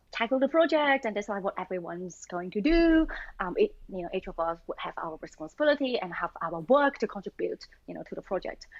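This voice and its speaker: Talking very fast, a woman with a Chinese accent uses a fairly high voice with very wide pitch swings. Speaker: machine learning engineer. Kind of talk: casual interview chat. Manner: hesitant, many fillers.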